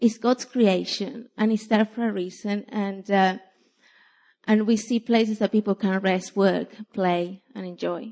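With a non-native accent, a woman speaks at a fairly slow pace and with fairly even intonation. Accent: foreign-accented English. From from overseas. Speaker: church outreach volunteer. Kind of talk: testimony. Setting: church. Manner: halting.

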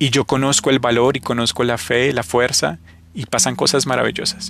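Bright and sharp in tone, a man's voice sits at a medium pitch with vocal fry. His pitch variation is ordinary. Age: 30s. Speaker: motivational podcast host. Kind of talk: motivational monologue.

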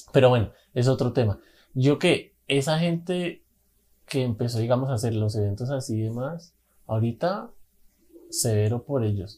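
A man's somewhat breathy, dark, mellow voice at medium pitch, with ordinary pitch variation, a moderate pace and long, frequent pauses. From Colombia, Bogotá. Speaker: podcast co-host, musician. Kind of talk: casual chat.

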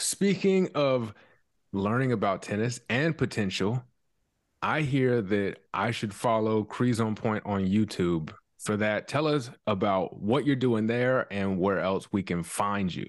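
Fairly slow speech from a man with an American accent, a plain, everyday voice, fairly low pitch and ordinary pitch variation, in a very clean recording, silent background. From US South, South Carolina. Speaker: podcast host. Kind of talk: casual interview.

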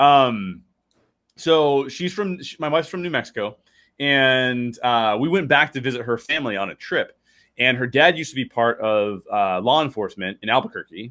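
A man speaks in a normal speaking voice at medium pitch. His pace is moderate and his intonation lively. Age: 30s. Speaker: science fiction author. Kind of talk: casual interview chat.

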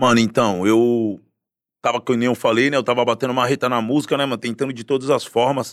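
An ordinary speaking voice comes from a man at medium pitch, fairly quick and with fairly even intonation. The recording is very clean, with a silent background. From Guarujá, Baixada Santista, São Paulo state, Brazil. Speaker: actor in a TV series and musician. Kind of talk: casual chat.

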